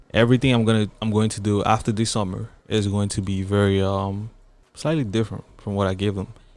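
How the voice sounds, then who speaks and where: At a fairly quick pace, a man with a fairly low pitch and a slight Cameroonian accent speaks with fairly even intonation in a very clean recording with a silent background. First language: French. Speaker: rapper. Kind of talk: casual chat.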